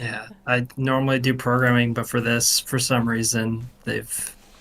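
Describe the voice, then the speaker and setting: The voice stays flat and monotone. It moves at a fairly slow pace. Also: man. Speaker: game developer. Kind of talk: casual chat. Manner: loud.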